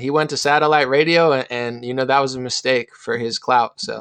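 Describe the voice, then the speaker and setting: With an American accent, a man in an ordinary speaking voice talks at a fairly quick pace, his medium pitch carrying fairly even intonation against a quiet background. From New Jersey. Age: 30s. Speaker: rapper. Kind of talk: casual chat.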